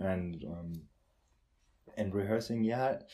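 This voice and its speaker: Speaking with a German accent at a very slow pace, a man with a fairly low pitch and a dark, mellow tone keeps a fairly even intonation on a very clean recording with a silent background. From Germany, Lübeck. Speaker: conducting student. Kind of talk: casual interview.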